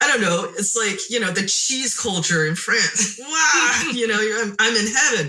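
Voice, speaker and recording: With a Chinese accent, a woman speaks in a bright, sharp tone and very wide pitch swings. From Taiwan, moved to California at nine. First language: Mandarin Chinese. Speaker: concert pianist. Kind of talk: interview.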